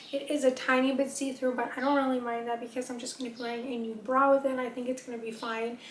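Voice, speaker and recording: The speech comes very fast in a monotone, flat intonation, with big swings in loudness. Noticeable background noise is present. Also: woman, high pitch for a woman. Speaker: fashion and beauty vlogger. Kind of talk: casual try-on haul talk. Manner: casual chatty.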